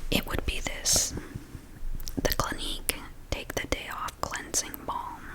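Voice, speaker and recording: Over noticeable background noise, a woman whispers at a fairly slow pace with long, frequent pauses. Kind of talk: soft-spoken ASMR product demo. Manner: soft-spoken, calm.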